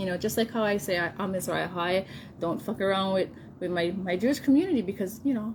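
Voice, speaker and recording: Noticeable background noise is present. Over it, a woman talks in a medium pitch. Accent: Hawaiian. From Hawaii. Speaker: vlogger. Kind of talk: casual vlog monologue. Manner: animated.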